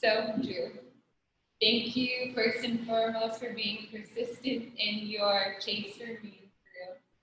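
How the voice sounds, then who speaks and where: A woman speaks very slowly at a fairly high pitch, her intonation flat and monotone while her loudness swings widely, with audible room echo around her. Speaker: bride. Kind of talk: wedding vows. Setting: video call.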